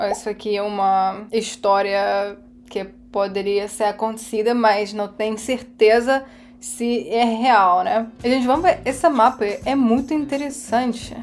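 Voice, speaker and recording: A woman speaks at a fairly slow pace in a fairly high voice. Her pitch varies in an ordinary way. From Russia. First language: Russian (speaking Portuguese). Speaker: YouTuber reacting to videos. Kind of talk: reaction video commentary.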